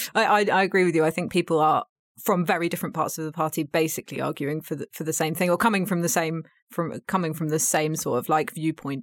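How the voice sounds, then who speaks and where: Speaking at a very fast pace with a British accent, a woman with a fairly low pitch and fairly even intonation is heard on a very clean recording with a silent background and a dry, close sound with no echo. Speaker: podcast host and journalist. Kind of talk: casual political discussion. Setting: studio.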